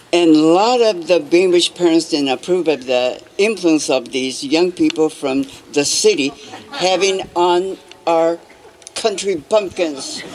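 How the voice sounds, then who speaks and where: Noticeable background noise sits behind a woman speaking at a fairly slow pace with a fairly low pitch. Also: ordinary pitch variation. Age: 80s+. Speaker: incarceration camp survivor. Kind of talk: commemoration speech.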